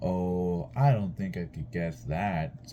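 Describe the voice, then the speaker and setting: A man puts on a character voice with a very deep, low pitch. He talks at a very slow pace over clear background noise. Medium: read story. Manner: gentle, affectionate.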